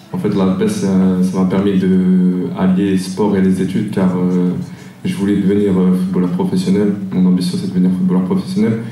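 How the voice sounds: The voice has a dark, mellow tone and a monotone, flat intonation, moving at a fairly quick pace with audible room echo. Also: man, low pitch for a man.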